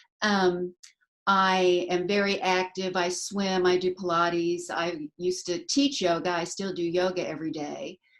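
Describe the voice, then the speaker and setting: Here is a woman with a plain, everyday voice. She talks at a fairly slow pace with fairly even intonation. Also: medium pitch for a woman. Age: 60s. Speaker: brand ambassador, retired teacher and artist. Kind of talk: self-introduction in live chat.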